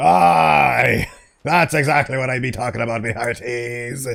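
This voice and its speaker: At a moderate pace, a man with a medium pitch talks in a put-on character voice. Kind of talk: piratey, 'me hearties'. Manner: swaggering, gruff.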